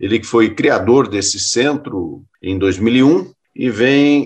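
A man's voice at a very slow pace with ordinary pitch variation. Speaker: radio host. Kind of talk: radio interview.

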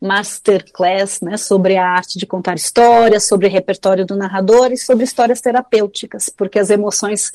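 Fairly high in pitch, a woman speaks with fairly even intonation in an unremarkable speaking voice. The sound is dry and close, with no echo. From Brazil, São Paulo. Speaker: oral storyteller and author. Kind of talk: interview.

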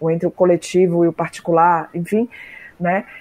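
A woman speaks with a fairly low pitch. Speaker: philosophy professor. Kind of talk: interview. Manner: halting.

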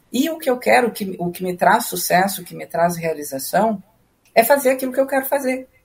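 A woman speaks at a medium pitch in a somewhat breathy voice. Her pitch swings very widely. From southern Brazil, Rio Grande do Sul. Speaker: musician and music educator. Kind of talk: interview. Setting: video call.

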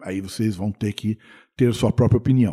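A man's dark, mellow, somewhat breathy voice on a very clean recording with a silent background. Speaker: radio host. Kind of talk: radio show presentation. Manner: casual.

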